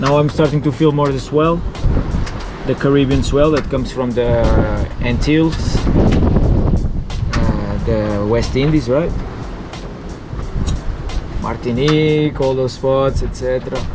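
A man talks fairly slowly over background music, with long pauses coming often. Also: dry sound with no echo. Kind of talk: casual vlog chat. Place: boat. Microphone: phone near.

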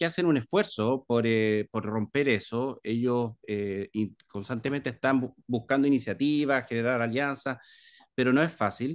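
Speaking at a moderate pace against a quiet background, the voice shows ordinary pitch variation. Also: man. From Chile, Viña del Mar; Chile. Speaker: library director; interviewee. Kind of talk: interview. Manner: hesitant, many fillers. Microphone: video call.

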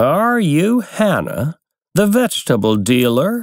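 Using a put-on character voice, a man speaks high and shaky at a fairly slow pace. The recording is very clean, with a silent background.

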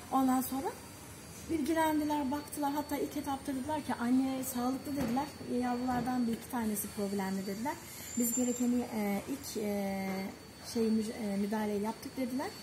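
A woman with a high voice talks at a moderate pace with ordinary pitch variation amid noticeable background noise. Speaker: animal rescuer. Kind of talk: casual chat. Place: street.

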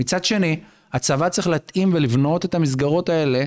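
In a quiet background, a man with a fairly high pitch speaks at a moderate pace with lively intonation. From Israel, Bnei Brak (Haredi community); Israel. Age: 40s. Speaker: rabbi, reserve officer and lawyer; rabbi, lawyer. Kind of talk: podcast interview. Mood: earnest, explanatory. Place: studio. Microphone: studio mic.

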